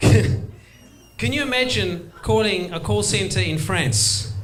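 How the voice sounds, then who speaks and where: A man speaks in a South African accent. Music plays in the background, and room echo is audible. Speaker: stand-up comedian. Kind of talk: stand-up.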